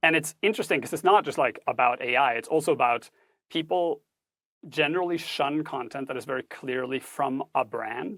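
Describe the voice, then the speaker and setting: A man's fairly high voice at a fairly quick pace with ordinary pitch variation, in a very clean recording with a dry, close sound, no echo and a silent background. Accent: Norwegian. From Norway. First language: Norwegian. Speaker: tech ethics instructor and author. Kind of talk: podcast interview. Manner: formal, precise wording.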